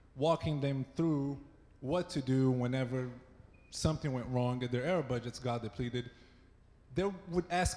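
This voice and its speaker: Speaking with a Brazilian accent, a man uses ordinary pitch variation. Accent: Brazilian accent, noticeable. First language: Portuguese. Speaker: site reliability engineer. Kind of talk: conference talk. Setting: stage with audience. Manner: not too fast.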